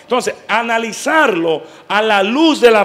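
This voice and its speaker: A man with a high voice speaks at a very slow pace. His pitch swings very widely. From Dominican Republic. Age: 20s. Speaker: lay pastoral associate, catechist. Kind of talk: catechetical talk to parents.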